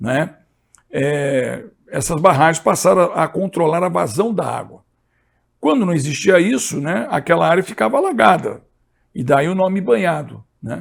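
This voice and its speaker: A man talks at a fairly high pitch with vocal fry. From Brazil, São José dos Campos (São Paulo state). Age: 60s. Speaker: history teacher and environmentalist. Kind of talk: lecture. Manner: hesitant, many fillers and repetitions.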